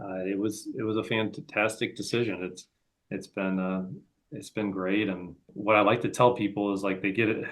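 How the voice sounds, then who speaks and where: With an American accent, a man speaks in a plain, everyday voice, fairly low in pitch, at a moderate pace with fairly even intonation. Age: 40s. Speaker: real estate entrepreneur. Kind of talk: interview. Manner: casual, many fillers and repetitions.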